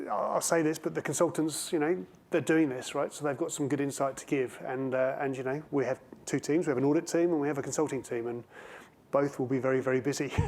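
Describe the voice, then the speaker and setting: Speaking at a very fast pace, a man keeps his fairly high voice in a fairly even intonation. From England. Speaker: panel moderator and auditor. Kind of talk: conference panel discussion.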